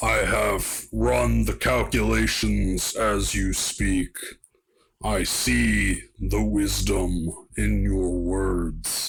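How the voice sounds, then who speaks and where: A man puts on a character voice pitched very deep and low. He talks at a very slow pace. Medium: actual play. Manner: formal, measured, grave.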